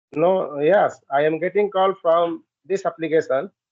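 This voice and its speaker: A man speaks with an Indian accent at a fairly slow pace. His pitch is high and his intonation fairly even. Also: very even loudness. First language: Hindi. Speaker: English learner. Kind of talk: casual chat, English practice conversation. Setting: video call on a language app.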